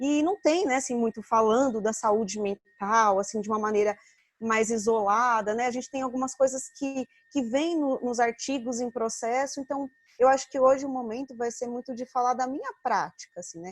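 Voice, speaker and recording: A woman with a high pitch speaks at a moderate pace with ordinary pitch variation, the sound dry and close with no echo. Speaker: occupational therapist and lecturer. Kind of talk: online lecture.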